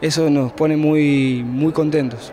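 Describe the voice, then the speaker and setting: There is light background noise as a man speaks with fairly even intonation. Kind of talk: interview answer. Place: hall. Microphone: handheld.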